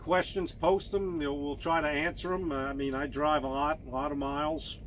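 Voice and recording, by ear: The tone of this man's voice is fairly bright. His pitch sits fairly high.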